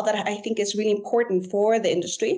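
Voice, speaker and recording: A woman's medium-pitched voice at a very fast pace. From Guatemala. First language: German. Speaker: environmental consultant, mining industry. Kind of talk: interview. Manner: halting.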